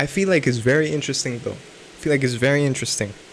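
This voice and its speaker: A man's fairly high voice carries fairly even intonation while noticeable background noise sounds behind him. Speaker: self-improvement vlogger. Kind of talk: unscripted vlog monologue. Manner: halting, many restarts and fillers; slurred speech.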